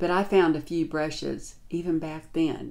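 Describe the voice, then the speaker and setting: A woman speaks in a very deep, low voice with a flat, monotone delivery. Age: 60s. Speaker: beauty vlogger. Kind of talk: tutorial. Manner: casual. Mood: warm, relaxed. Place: home room.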